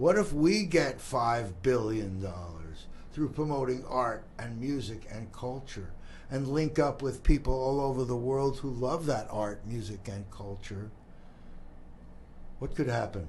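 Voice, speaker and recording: With audible room echo, a man speaks at a fairly slow pace and medium pitch, somewhat breathy and with lively intonation. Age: 70s. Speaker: community talk show host. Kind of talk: casual interview chat.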